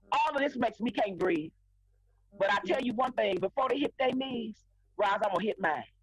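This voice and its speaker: Talking at a fairly quick pace, a woman leaves long, frequent pauses over noticeable background noise. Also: fairly high pitch for a woman, lively intonation, very even loudness. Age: 60s. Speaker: pastor, co-host of faith talk show. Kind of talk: impassioned talk show discussion. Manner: emphatic.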